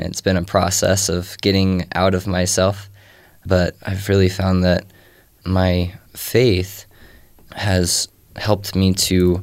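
On a very clean recording with a silent background, the voice, with an American accent, holds a monotone, flat intonation. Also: man. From Texas. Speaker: panelist, returned missionary. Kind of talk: panel discussion.

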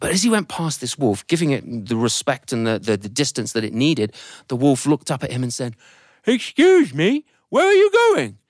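With an English accent, a man speaks in an animated tone at a moderate pace. The recording is dry and close, with no echo. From England. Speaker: storyteller. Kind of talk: live storytelling performance. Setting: studio with live audience. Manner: animated, acts out characters' hesitant voices.

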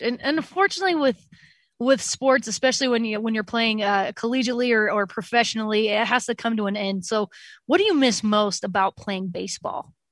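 In an ordinary speaking voice, a woman with an American accent speaks at a fairly quick pace, fairly high in pitch with ordinary pitch variation. The recording is very clean and silent in the background, with a dry, close sound and no echo. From Utah. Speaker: radio host. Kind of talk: casual interview chat.

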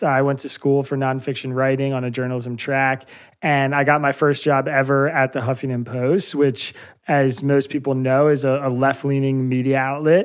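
The recording is very clean, with a silent background. A man talks at a moderate pace and a fairly high pitch. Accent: Pennsylvania. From US Northeast, Bucks County, Pennsylvania. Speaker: journalist, newsletter founder. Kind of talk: interview.

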